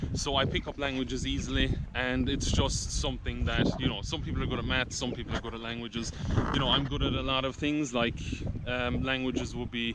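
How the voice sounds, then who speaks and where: A man talks fairly quickly, his voice carrying audible room echo over noticeable background noise. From Ireland and the Netherlands. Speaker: vlogger. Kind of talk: casual vlog talk to camera.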